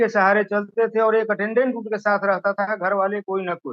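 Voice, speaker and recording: High-pitched male speech with fairly even intonation. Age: 60s. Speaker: product user giving testimonial. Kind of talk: testimony.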